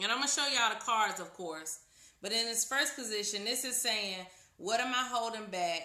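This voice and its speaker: Loud and bright with a sharp tone, a woman speaks with ordinary pitch variation amid audible room echo. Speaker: tarot reader. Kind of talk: live stream tutorial. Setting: live video stream.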